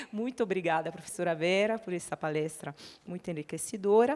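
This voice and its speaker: Over noticeable background noise, a woman speaks with an Italian accent at a moderate pace and with ordinary pitch variation. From Italy. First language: Italian (speaking Portuguese). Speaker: panel moderator. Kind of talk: panel moderation.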